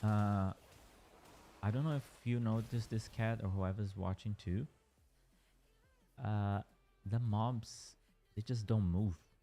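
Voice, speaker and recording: Music plays in the background as a man with a fairly low pitch speaks at a fairly slow pace, keeping very even loudness and fairly even intonation while taking long, frequent pauses. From Brazil. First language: Portuguese. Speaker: gaming streamer. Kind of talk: casual livestream chat. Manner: hesitant, with fillers and restarts.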